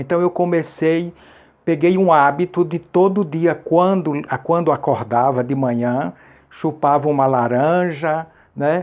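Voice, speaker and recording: An unremarkable speaking voice, fairly slow, its pitch varying in an ordinary way. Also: man. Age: 60s. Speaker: YouTuber sharing health advice. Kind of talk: testimony. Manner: casual, repetitive.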